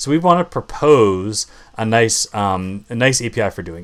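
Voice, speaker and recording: A man with a medium pitch speaks with lively intonation. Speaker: software developer live streamer. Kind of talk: live coding tutorial stream. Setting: live stream. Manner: loud; casual, filler-heavy. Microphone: new microphone.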